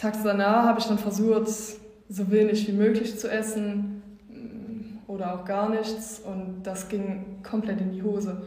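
Amid noticeable background noise and audible room echo, a woman speaks at a fairly slow pace with monotone, flat intonation and long, frequent pauses. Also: medium pitch for a woman. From East Belgium. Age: 20s. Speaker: coaching client. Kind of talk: testimony. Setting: office.

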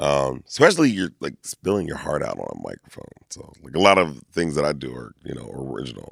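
A man with an American accent speaks at a fairly quick pace with hardly any pauses, his very deep, low voice carrying vocal fry and lively intonation. His loudness swings a lot, and the sound is dry and close with no echo. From Lancaster, Pennsylvania. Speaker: performer and event host. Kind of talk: casual interview. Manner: animated.

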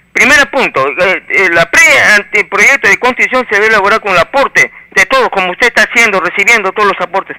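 In a raised, projected voice, the speaker moves at a fairly quick pace with lively intonation and a dry, close sound with no echo. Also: man, high pitch for a man. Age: 50s. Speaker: caller, social activist. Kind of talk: call-in opinion. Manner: halting, repeats words.

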